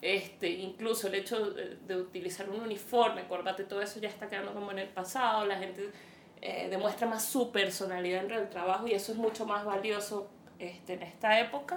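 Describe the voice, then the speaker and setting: A woman speaks at a moderate pace amid audible room echo. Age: 30s. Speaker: podcast co-host. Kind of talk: casual chat.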